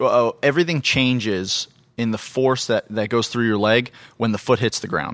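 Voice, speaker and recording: A man with an American accent and an unremarkable speaking voice, medium pitch, ordinary pitch variation, moderate pace, very clean recording with a silent background. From US Southwest (Phoenix, Arizona). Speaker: physical therapist. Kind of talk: interview.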